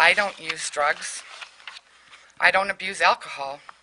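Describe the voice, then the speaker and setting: A woman talks here. Noticeable background noise can be heard. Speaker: war veteran. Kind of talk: legislative hearing testimony.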